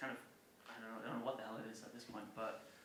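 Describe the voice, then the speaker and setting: Audible room echo surrounds a man's voice. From Ireland, rural County Cork. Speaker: music publisher and former touring musician. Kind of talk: public talk. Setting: stage with audience. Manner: casual, with many fillers.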